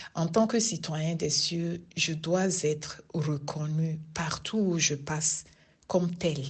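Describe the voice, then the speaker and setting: In a room with audible echo, a woman with a Togolese accent speaks very slowly at a fairly low pitch, somewhat breathy, with ordinary pitch variation. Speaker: lay preacher, prayer group member. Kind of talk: sermon.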